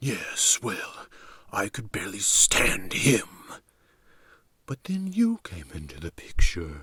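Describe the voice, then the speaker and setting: Whispering in a put-on character voice, a man talks at a fairly slow pace with long, frequent pauses and big swings in loudness, the sound dry and close with no echo. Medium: read story. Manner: smooth, matter-of-fact.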